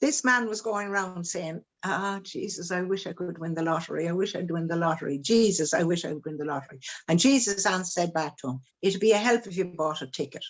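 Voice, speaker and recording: A woman with an Irish accent speaks at a fairly quick pace. Her pitch is fairly low, with ordinary variation. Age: 70s. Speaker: children's book author. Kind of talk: interview. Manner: halting.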